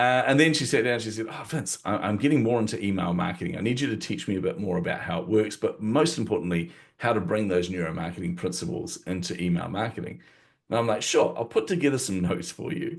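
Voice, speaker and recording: Speaking at a very fast pace, a man with a New Zealand accent uses a fairly low pitch with very wide pitch swings. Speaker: marketing coach and author. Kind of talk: interview conversation.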